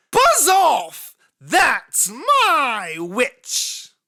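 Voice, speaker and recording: A shrill, high-pitched put-on character voice, croaky and growling. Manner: angry, commanding.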